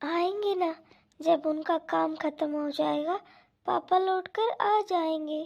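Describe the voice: Doing a cartoonish character voice, a woman speaks slowly at extremely high pitch with vocal fry, a slightly mellow tone and ordinary pitch variation.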